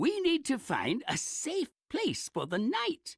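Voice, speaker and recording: Put-on character voice, high-pitched with very wide pitch swings, a fairly slow pace, and a dry, close sound with no echo. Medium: read story. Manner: proper, stern.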